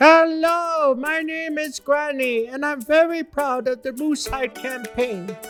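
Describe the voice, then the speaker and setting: Over clear background music, a man uses a cartoonish character voice at an extremely high pitch and a fairly slow pace. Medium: puppet.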